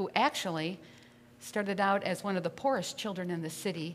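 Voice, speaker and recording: Here a woman talks. Her pace is moderate. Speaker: pastor. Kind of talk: sermon. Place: church. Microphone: podium.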